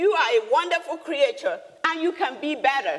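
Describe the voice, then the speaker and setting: An animated woman with a Nigerian accent, her extremely high pitch swinging very widely. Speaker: business leader and speaker. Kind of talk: motivational talk. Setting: stage with audience.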